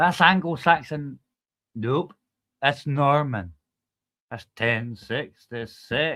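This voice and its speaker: Speaking very slowly with long, frequent pauses, a man with a fairly high pitch talks in a Scottish accent. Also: ordinary pitch variation. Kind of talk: casual chat.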